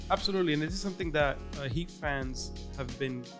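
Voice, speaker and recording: Over music in the background, a man talks at a fairly quick pace, his fairly high pitch varying in an ordinary way. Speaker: podcast guest. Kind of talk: casual podcast conversation.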